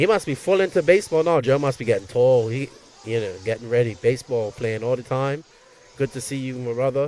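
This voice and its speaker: With a Bermudian accent, a man talks at a medium pitch for a man. His pace is fairly quick, with ordinary pitch variation. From Bermuda. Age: 50s. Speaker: race commentator. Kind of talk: live commentary. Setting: outdoor racetrack livestream. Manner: animated.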